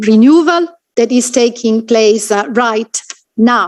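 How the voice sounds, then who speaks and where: Speaking at a very slow pace with an Italian accent, a woman uses a fairly high pitch and ordinary pitch variation. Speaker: conference chair. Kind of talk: formal ceremony hosting. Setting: international conference closing ceremony. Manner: halting, many fillers.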